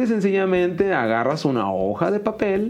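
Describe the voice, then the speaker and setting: A man talks with a high pitch. Noticeable background noise is present. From Mexicali, Baja California, Mexico. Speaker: university math teacher and educational youtuber. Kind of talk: interview.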